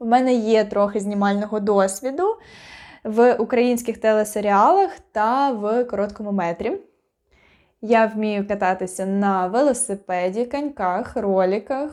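At a fairly slow pace, the speaker uses ordinary pitch variation on a very clean recording with a silent background. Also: woman, fairly high pitch for a woman. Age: 20s. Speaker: actress. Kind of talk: self-introduction video. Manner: casual, unprepared.

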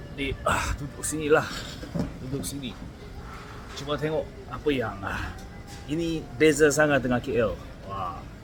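A man's fairly high voice at a fairly slow pace, with long, frequent pauses, ordinary pitch variation, big swings in loudness and noticeable background noise. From South Korea. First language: Korean (speaking Malay). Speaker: vlogger. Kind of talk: casual vlog talking to camera. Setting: eating at a roadside restaurant; walking outdoors at night. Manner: halting, with many fillers and repetitions.

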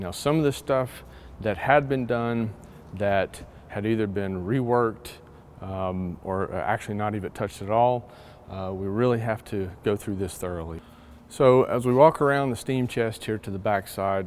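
A man speaks at a moderate pace with ordinary pitch variation. There is light background noise. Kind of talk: walkthrough explanation. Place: workshop. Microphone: lapel.

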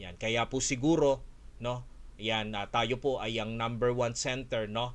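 A man talks in a plain, everyday voice at a medium pitch. He goes at a fairly slow pace with fairly even intonation. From Philippines, Olongapo City; Philippines. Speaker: Korean language teacher and school owner; Korean language teacher. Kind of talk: online webinar. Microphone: webcam.

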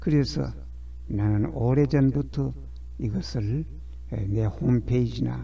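Spoken at a very slow pace with lively intonation, the voice carries audible room echo. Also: man. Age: 80s+. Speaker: scholar of Buddhist temple inscriptions. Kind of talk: lecture. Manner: halting, with frequent fillers.

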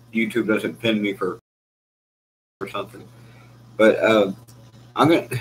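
With light background noise, a man speaks at a moderate pace and with fairly even intonation. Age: 40s. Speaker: military veteran. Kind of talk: casual talk to camera. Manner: relaxed, conversational. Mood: venting, earnest. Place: kitchen. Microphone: webcam.

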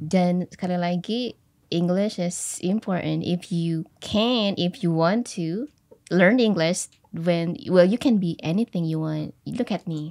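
Her tone is dark and mellow, pitched fairly low for a woman. She speaks at a very slow pace. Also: ordinary pitch variation, quiet background. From Central Java, Wonogiri; Central Java. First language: Javanese / Indonesian (speaking Indonesian). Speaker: English teacher. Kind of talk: casual interview. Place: studio. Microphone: studio mic.

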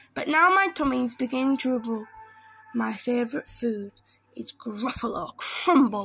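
A woman puts on a character voice at a fairly high pitch, fairly bright in tone with a slightly husky edge and vocal fry. Her pitch varies in an ordinary way, with faint music in the background. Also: moderate pace.

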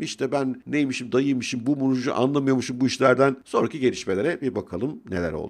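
A man's medium-pitched voice with vocal fry, a fairly quick pace, and a quiet background. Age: 50s. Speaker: financial commentator youtuber. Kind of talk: casual monologue commentary. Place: home room. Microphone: studio mic.

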